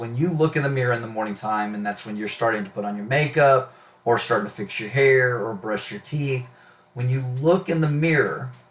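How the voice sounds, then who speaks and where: A man talks fairly quickly, his voice somewhat breathy. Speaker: math teacher. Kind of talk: recorded video lesson. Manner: stutters today, fillers.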